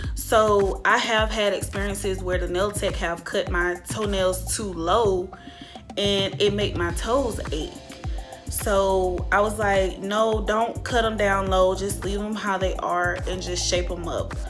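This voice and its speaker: A woman with an American accent at a very slow pace, with clear music in the background. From Georgia, USA. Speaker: YouTuber. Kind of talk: casual storytime talk to camera. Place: home room. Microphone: phone near.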